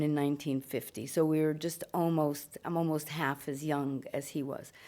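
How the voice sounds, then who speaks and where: A woman with an American accent, at a fairly slow pace, in a very deep, low pitch with a dark, mellow tone. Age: 60s. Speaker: writer and performer. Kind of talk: interview after film screening.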